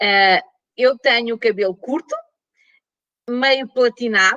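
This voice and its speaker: A woman speaks with a European Portuguese accent at a fairly high pitch, her pitch varying in an ordinary way, in a dry, close recording with no echo. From Portugal. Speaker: professor. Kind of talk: lecture. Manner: slow.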